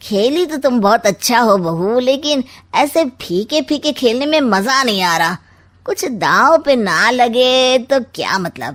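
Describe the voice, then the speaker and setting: A cartoonish character voice moves at a fairly slow pace with very wide pitch swings, recorded very cleanly against a silent background. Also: woman, high pitch for a woman. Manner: sly, sarcastic, insinuating.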